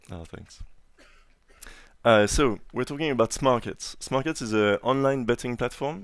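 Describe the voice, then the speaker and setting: In a strong French accent, a man talks at a moderate pace with ordinary pitch variation on a very clean recording with a silent background. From France. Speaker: conference speaker, software engineer. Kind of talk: conference talk. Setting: stage with audience. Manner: hesitant, many fillers.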